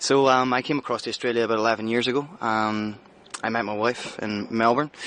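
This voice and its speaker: With a Northern Irish accent, a man talks at a medium pitch. He keeps a fairly quick pace and fairly even intonation. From Northern Ireland, Belfast. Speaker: head chef. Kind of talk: interview. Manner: casual, hesitant fillers.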